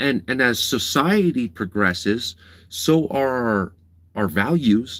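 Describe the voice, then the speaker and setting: At a very slow pace and a medium pitch, a man talks with lively intonation and very even loudness. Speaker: livestreamer. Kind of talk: live stream chat.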